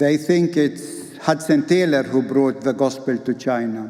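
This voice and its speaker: With an Arabic accent, a man talks at a fairly slow pace in a fairly high pitch with ordinary pitch variation. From Palestine. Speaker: pastor and theologian. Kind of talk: keynote speech.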